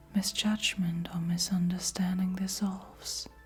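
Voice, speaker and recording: Speech comes at a very slow pace. Music plays in the background. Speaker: tarot card reader. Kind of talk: spoken oracle card reading. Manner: soft-spoken.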